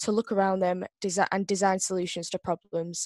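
A woman speaks in a monotone, flat way at a moderate pace. The background is quiet and the sound dry, with no echo. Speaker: presenter. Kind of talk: introductory presentation. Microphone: video call.

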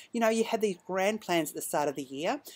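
A woman with an Australian accent talks with ordinary pitch variation. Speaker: knitting podcast host and yarn dyer; knitting podcast host. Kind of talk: casual monologue. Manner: hesitant, many ums. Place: garden. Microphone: webcam.

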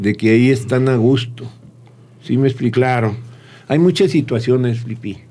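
A man's dark, mellow tone at a fairly slow pace, with fairly even intonation. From Torreón, Mexico (Comarca Lagunera); Mexico. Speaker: restaurant owner; guest. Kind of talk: interview. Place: studio. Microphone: studio mic.

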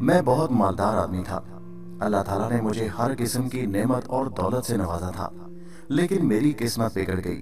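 Lively intonation over music in the background. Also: man. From Pakistan. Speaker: voice-over artist and story writer. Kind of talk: horror story narration.

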